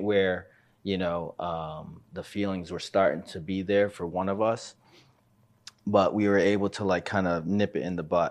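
With an ordinary speaking voice, a man talks at a moderate pace over a quiet background, his pitch fairly low and his intonation fairly even. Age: 30s. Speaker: male revue business owner. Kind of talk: casual chat.

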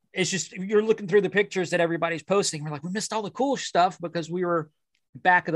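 The background is quiet as a man talks. His pitch sits high, with ordinary variation. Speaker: podcast host. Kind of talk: casual chat.

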